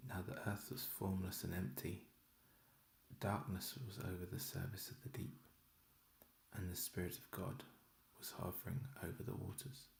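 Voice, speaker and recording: Soft-spoken and somewhat breathy, a man with a fairly low pitch uses lively intonation at a moderate pace, with long, frequent pauses. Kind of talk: bible reading.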